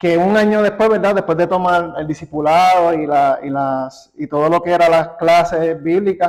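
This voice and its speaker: In a Puerto Rican accent, the speech flows at a moderate pace with fairly even intonation and hardly any pauses. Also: man, high pitch for a man. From Puerto Rico. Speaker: church member. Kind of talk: interview. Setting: studio. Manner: halting, repeats words.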